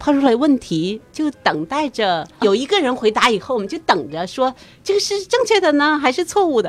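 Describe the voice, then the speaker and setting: Her pitch is high and swings very widely. The woman keeps a moderate pace. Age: middle-aged. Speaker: immigrant and community volunteer. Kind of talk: interview.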